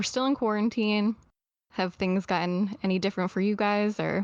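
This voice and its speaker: A woman with an American accent, medium pitch and fairly even intonation at a moderate pace, a plain, everyday voice, with a quiet background. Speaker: podcast host. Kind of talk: casual chat.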